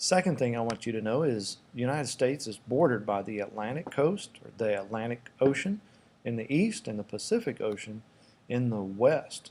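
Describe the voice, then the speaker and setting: A man talks with lively intonation and big swings in loudness. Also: medium pitch for a man. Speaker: middle school teacher. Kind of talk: recorded lesson. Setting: classroom desk at school. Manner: fast.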